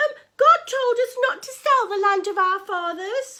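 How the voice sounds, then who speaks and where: Using a put-on character voice, a woman squeaks out her lines at an extremely high pitch, raised and projected, with lively intonation at a moderate pace. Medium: read story. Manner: hesitant, stammering.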